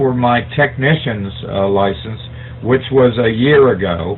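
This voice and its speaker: A man talks at a fairly slow pace with ordinary pitch variation. Noticeable background noise sits behind him. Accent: American. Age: 60s. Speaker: amateur radio operator. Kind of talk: radio net check-in, explaining. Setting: amateur radio net. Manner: hesitant, many fillers.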